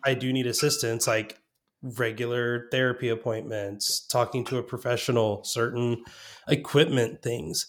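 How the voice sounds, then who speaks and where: A man's unremarkable speaking voice, medium-pitched, fairly even in intonation and moderate in pace. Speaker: guest, developer relations professional. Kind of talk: casual chat.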